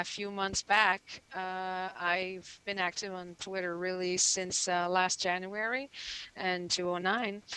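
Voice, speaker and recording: Speaking very slowly, a woman uses a bright, sharp tone at a medium pitch with flat, monotone intonation. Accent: French-Canadian. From Quebec, Canada. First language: French. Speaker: musician. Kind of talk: casual interview.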